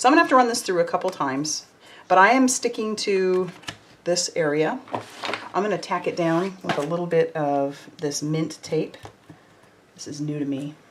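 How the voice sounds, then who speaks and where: Noticeable background noise sits behind a voice with lively intonation, a moderate pace and long, frequent pauses. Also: woman, fairly low pitch for a woman. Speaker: card-making crafter. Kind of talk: live craft tutorial. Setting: livestream. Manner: casual, chatty.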